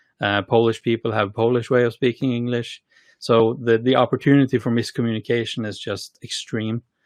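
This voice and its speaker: The intonation is monotone and flat, and the sound is dry and close with no echo. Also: man, medium pitch for a man. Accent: Norwegian. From Norway. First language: Norwegian. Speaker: tech company co-founder and CTO. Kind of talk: podcast interview. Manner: halting, many fillers and repeated words.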